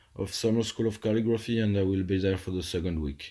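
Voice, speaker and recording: A man's voice comes across dark and mellow, with pitch that varies in an ordinary way. The recording is very clean and the background is silent. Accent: French. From Alsace, eastern France. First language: French. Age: 30s. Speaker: calligrapher and teacher. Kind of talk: casual interview. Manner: halting, many fillers.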